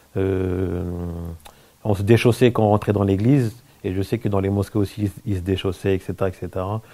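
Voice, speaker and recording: Here a man talks at a moderate pace with a fairly low pitch and a dark, mellow tone. His intonation is fairly even, broken by long, frequent pauses. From France. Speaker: convert to Islam, business owner. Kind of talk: interview testimony. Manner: halting, many fillers.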